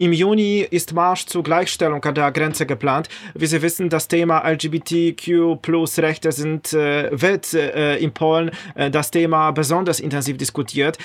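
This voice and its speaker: Speaking with a Polish accent, a man keeps a fairly high pitch, very even loudness, and fairly even intonation. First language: Polish (speaking German). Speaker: podcast host. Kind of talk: interview.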